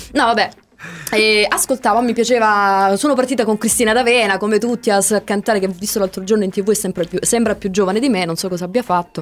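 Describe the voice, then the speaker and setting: This woman speaks at a very fast pace. Her voice is fairly high in pitch and shows ordinary pitch variation. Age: 30s. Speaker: radio host. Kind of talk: casual chat.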